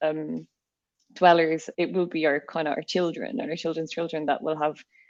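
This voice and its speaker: With an Irish accent, a woman speaks at a fairly low pitch with fairly even intonation. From Ireland. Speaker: podcast host, company CEO. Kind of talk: podcast interview.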